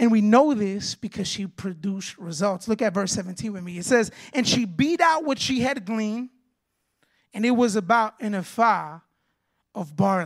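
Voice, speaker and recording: A woman with a fairly high pitch speaks at a moderate pace in an animated tone with lively intonation, recorded very cleanly over a silent background. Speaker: guest preacher. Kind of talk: sermon. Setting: church with congregation.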